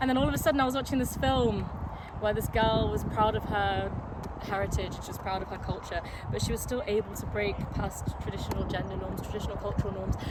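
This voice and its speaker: Woman in a London accent at a very fast pace, with audible room echo and noticeable background noise. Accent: southern English, London area. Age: 20s. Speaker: amateur footballer. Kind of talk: casual talk to camera. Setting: outdoors in a local park. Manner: casual, hesitant with fillers.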